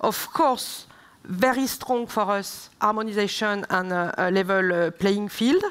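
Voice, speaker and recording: Here a woman with a French accent talks at a fairly slow pace. Her pitch is fairly high, with ordinary variation. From southern France. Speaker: member of European Parliament; speaker. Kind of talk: panel debate; panel discussion answer. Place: stage. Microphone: headset.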